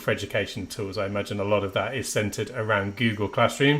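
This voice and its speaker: A man with a Midlands accent. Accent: Midlands twang. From English Midlands. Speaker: education trainer, former maths teacher. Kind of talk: webinar presentation. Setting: online webinar.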